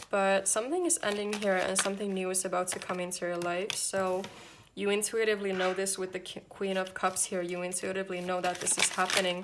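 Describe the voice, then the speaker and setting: Over noticeable background noise, a woman speaks at a fairly quick pace in a medium pitch with monotone, flat intonation. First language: not English. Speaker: tarot reader. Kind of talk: tarot reading to camera.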